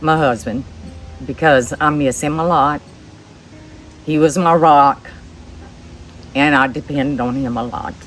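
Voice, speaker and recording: Over music in the background, a woman with an American accent speaks at a fairly slow pace in a very deep, low pitch. Her intonation is fairly even, broken by long, frequent pauses. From New Orleans, Louisiana. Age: 60s. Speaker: widow sharing life story. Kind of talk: interview, personal testimony. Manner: halting, with fillers and repeats.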